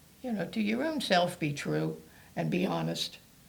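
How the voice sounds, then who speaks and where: Speaking at a fairly slow pace, a woman has an American accent. Audible room echo surrounds her voice. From Maryland (Towson). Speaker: former mayor. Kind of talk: interview. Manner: halting.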